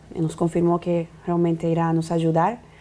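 Her tone dark and mellow, a woman speaks at a moderate pace with a fairly low pitch. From Bolivia. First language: Spanish (speaking Portuguese). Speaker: activist leader; interview guest. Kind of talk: interview; interview answer. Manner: halting. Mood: serious, concerned. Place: studio. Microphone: lapel.

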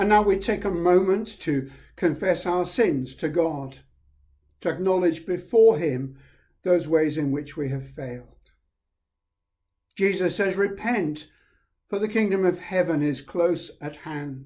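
Against a quiet background, a man with a high pitch and a dark, mellow tone talks at a fairly slow pace, with ordinary pitch variation and long, frequent pauses. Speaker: priest leading a service. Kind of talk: liturgy and welcome address. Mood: warm, calm, solemn. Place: home room. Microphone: webcam.

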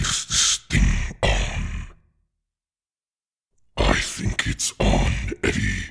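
In a raspy put-on character voice, a man speaks at a very slow pace with long, frequent pauses. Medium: role play.

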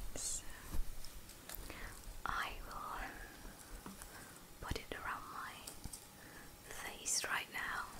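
A woman talks at a very slow pace. She leaves long, frequent pauses. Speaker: ASMR creator. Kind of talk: ASMR whisper video. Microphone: studio mic.

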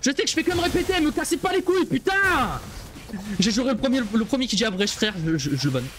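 A man at an extremely high pitch with very wide pitch swings, fairly quick pace and very even loudness, light background noise behind him. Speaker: streamer. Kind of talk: live gameplay stream commentary. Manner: animated. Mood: angry, exasperated. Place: home room.

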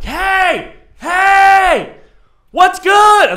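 A man shouts in a put-on character voice, raised and projected, pitched extremely high. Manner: screaming, loud.

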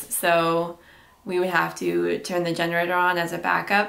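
A woman with a Canadian accent. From Ontario, Canada. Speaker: YouTuber, former welder; YouTuber. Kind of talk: casual Q&A vlog. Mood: calm, reflective. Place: home room.

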